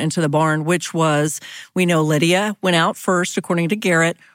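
Recorded very cleanly against a silent background, a woman talks at a moderate pace in a fairly low pitch, the sound dry and close with no echo. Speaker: podcast host and journalist. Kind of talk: casual chat about true crime, narrating cases. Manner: drinks tea between sentences, careful with voice.

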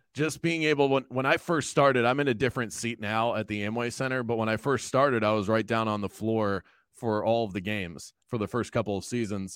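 A man with an ordinary speaking voice and an American accent talks at a fairly quick pace with hardly any pauses, at medium pitch and with ordinary pitch variation. The sound is dry and close with no echo, a very clean recording with a silent background. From South Florida. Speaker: radio host. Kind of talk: casual chat.

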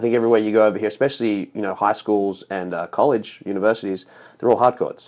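Against a quiet background, a man with an Australian accent speaks at a very fast pace. His pitch sits in the medium range. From Australia, Sydney. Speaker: tennis director. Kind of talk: casual interview.

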